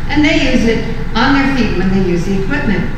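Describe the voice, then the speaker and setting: Amid noticeable background noise and strong room echo, a woman speaks with a fairly high pitch and lively intonation. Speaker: mother promoting grip socks. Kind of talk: casual product testimonial to camera. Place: home room. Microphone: camera far.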